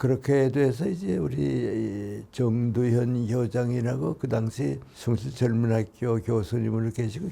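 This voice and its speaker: Very slow and somewhat breathy, the voice has a dark, mellow tone and lively intonation. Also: man. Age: 80s+. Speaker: philosopher, professor. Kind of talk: interview answer.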